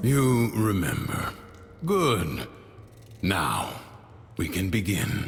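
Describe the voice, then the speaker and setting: Over clear background noise, a man in a put-on character voice talks very slowly at a medium pitch with lively intonation. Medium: machinima. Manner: measured, calm, instructive.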